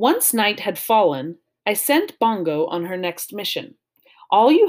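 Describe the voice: Behind this plain reading aloud, the background stays quiet.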